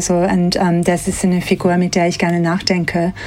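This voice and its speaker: Over noticeable background noise, a woman speaks at a fairly slow pace with a slight non-native accent. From Australia, Sydney. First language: English (speaking German). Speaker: museum curator. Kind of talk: interview. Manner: hesitant with fillers.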